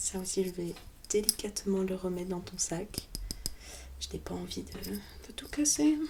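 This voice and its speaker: A soft-spoken woman talks at a fairly slow pace in a calm, gentle tone, leaving long, frequent pauses. Noticeable background noise sits behind her. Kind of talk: ASMR roleplay, soft spoken relaxation. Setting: close-mic studio recording. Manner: soft-spoken, calm, gentle.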